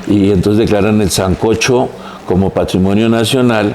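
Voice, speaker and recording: A man at a moderate pace with fairly even intonation, amid audible room echo and noticeable background noise. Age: 60s. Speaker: architect, heritage expert. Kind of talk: podcast interview.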